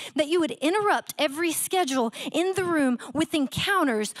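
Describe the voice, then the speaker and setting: A woman's lively intonation carries at a moderate pace, with a quiet background behind her. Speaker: guest preacher. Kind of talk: fervent prayer. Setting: church with online audience. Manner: fervent, pleading. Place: church. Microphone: handheld.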